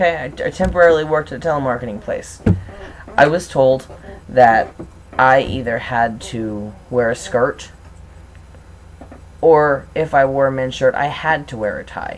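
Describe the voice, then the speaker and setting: A man with a fairly high voice and ordinary pitch variation speaks with big swings in loudness and long, frequent pauses. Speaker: transgender video blogger. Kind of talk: vlog monologue. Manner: fast.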